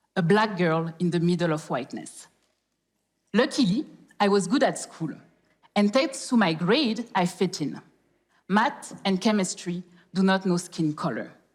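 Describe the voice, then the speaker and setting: Speaking in a French accent, a woman with a medium-pitched voice talks at a fairly slow pace with lively intonation and long, frequent pauses. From France, Paris (born in Congo). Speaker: corporate professional, speaker. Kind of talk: public talk.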